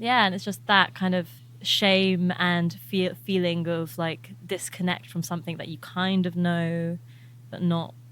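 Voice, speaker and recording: A woman speaks with an English accent at a fairly low pitch and a fairly slow pace. Her pitch variation is ordinary, and the recording is very clean with a silent background. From England. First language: Albanian. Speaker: musician. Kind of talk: interview.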